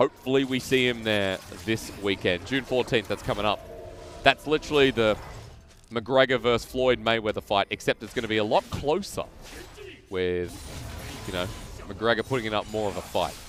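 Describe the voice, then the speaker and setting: Speaking with an Australian accent over noticeable background noise, a man with a medium-pitched voice sounds animated, with ordinary pitch variation and long, frequent pauses. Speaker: esports commentator. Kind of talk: casual banter; live commentary. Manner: fast.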